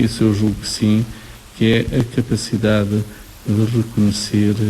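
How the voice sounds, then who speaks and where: A man's fairly low voice comes through with noticeable background noise around it. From Portugal, Nazaré. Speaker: professor. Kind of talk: radio interview.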